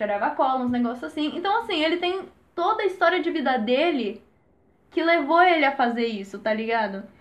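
High-pitched and lively, a woman speaks fairly quickly. Audible room echo surrounds her. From Brazil, Jundiaí (São Paulo state). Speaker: podcast host. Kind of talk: casual chat.

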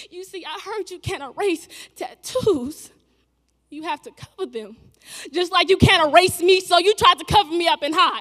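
A woman talks at an extremely high pitch and a moderate pace. Her loudness swings a lot. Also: ordinary pitch variation. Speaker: spoken word poet. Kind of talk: spoken word poetry performance. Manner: impassioned, rhythmic, emotionally charged delivery.

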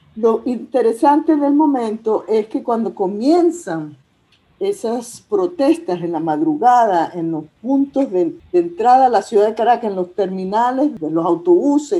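A dark, mellow tone with very wide pitch swings at a fairly slow pace. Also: woman. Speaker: historian. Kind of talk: interview conversation.

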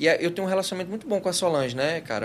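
The voice belongs to a man. There is noticeable background noise. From Goiás, Brazil. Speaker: advertising agency founder, guest. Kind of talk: casual interview chat.

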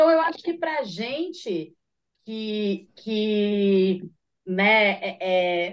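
Pitch for this woman sits fairly high. It swings very widely. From São José dos Campos, Vale do Paraíba, Brazil. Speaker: radio show host and rapper. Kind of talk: casual interview chat.

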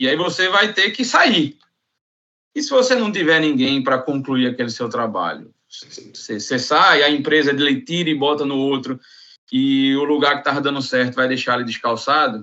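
This man's voice sits fairly high in pitch. He talks at a moderate pace with ordinary pitch variation. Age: 30s. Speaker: construction operations manager. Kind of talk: casual chat. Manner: halting.

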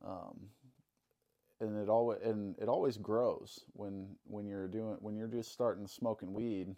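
A man with a Midwestern American accent speaks at a fairly low pitch. His pace is fairly slow, his intonation monotone and flat. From Illinois, Alton. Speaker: tattoo artist. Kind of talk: testimony.

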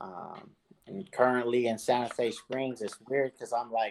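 A man's pitch varies in an ordinary way as he talks at a fairly slow pace. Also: medium pitch for a man.

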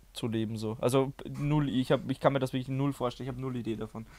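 A man with an Austrian accent at medium pitch, very fast pace, and fairly even intonation, on a very clean recording with a silent background. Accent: Austrian-sounding German. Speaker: YouTuber and video artist. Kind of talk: casual chat.

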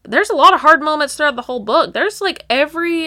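In an American accent, a woman uses a raised, projected voice with a bright, sharp tone and lively intonation. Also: very clean recording, silent background. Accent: Texas accent, noticed by relatives. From Texas. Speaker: book podcast co-host. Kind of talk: casual chat.

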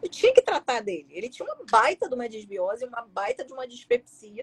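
A woman talks at a high pitch and fairly quick pace with lively intonation. The sound is dry and close, with no echo. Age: 40s. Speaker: gastroenterologist. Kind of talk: casual interview.

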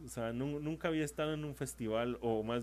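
A man speaks in a central Mexican accent with ordinary pitch variation. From Mexico, San Luis Potosí. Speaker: podcaster. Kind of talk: casual monologue. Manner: hesitant, many fillers.

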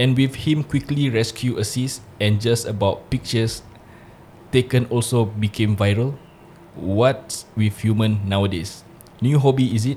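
A man's somewhat breathy voice, dark and mellow in tone and medium in pitch, moves at a very slow pace with ordinary pitch variation. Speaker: podcast co-host. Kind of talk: casual banter podcast chat. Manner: code-switching Malay and English, chatty.

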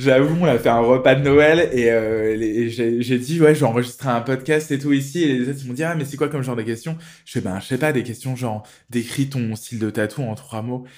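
Using an unremarkable speaking voice, this man holds a medium pitch and fairly even intonation. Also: fairly quick pace. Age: 40s. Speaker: tattoo artist. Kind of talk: casual chat.

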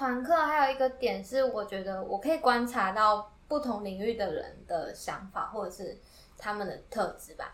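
Moving at a moderate pace, a woman with high pitch and ordinary pitch variation shows big swings in loudness. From Taiwan, Yilan. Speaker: university student and music creator. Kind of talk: interview.

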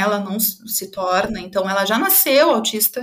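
With ordinary pitch variation, a woman speaks in an unremarkable speaking voice. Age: 30s. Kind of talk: testimony.

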